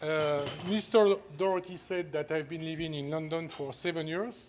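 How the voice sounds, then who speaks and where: Speaking with a French accent, a man uses a high pitch with ordinary pitch variation. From France. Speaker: company executive, award honoree. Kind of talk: award acceptance speech.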